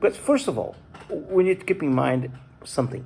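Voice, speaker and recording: This man speaks with a non-native accent. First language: Portuguese. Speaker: YouTuber. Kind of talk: casual vlog talk. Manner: halting.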